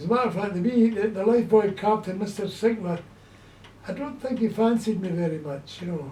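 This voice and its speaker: Spoken at a moderate pace with ordinary pitch variation, the voice carries audible room echo over noticeable background noise. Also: man. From Scotland, Glasgow. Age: 80s+. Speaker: elderly man recalling childhood. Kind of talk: casual chat.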